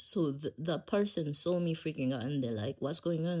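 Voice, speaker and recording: The recording is very clean, with a silent background. A woman speaks with ordinary pitch variation. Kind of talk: casual podcast storytelling. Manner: laid-back.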